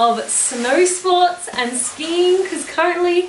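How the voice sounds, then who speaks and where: A woman speaks at a fairly slow pace in a room with audible echo and light background noise. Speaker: travel vlogger. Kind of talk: casual vlog chat. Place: home room.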